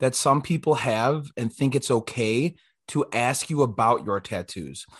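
A man with an American accent talks in a plain, everyday voice at a fairly slow pace. His pitch varies in an ordinary way against a quiet background. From Illinois, US Midwest. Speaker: podcast co-host. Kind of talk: casual chat.

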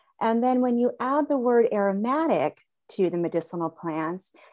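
A woman talks in a normal speaking voice with lively intonation. The background is quiet. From Southern California. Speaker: conservation biologist and aromatherapist. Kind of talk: interview conversation.

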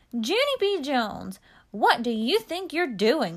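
A woman's put-on character voice, high and growling, at a fairly slow pace. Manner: growling, scolding.

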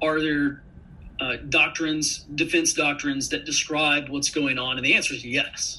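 Amid noticeable background noise, a man with an American accent talks at a moderate pace in a fairly high pitch with monotone, flat intonation. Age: 30s. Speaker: intelligence analyst and army veteran. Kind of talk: interview.

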